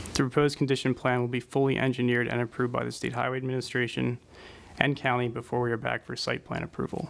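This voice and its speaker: A man at a very fast pace with monotone, flat intonation. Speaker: traffic engineer. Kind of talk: technical presentation. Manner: soft-spoken. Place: meeting room. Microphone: podium.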